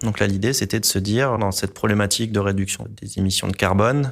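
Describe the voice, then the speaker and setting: Fairly quick speech with fairly even intonation comes through on a very clean recording with a silent background. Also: man. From La Réunion. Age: 40s. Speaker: environmental engineer. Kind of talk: interview testimony. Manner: hesitant, frequent filler sounds.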